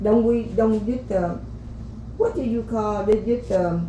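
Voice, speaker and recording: Amid audible room echo, a woman with a Vietnamese accent speaks at a very slow pace. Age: old. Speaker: podcast guest, host's grandmother. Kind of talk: life story interview. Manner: halting.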